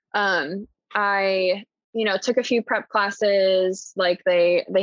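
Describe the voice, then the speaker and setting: A woman with an American accent talks at a very slow pace. Her pitch sits in the medium range, and her intonation is fairly even. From US Midwest, Indiana (Columbus). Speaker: podcast guest. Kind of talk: casual interview chat.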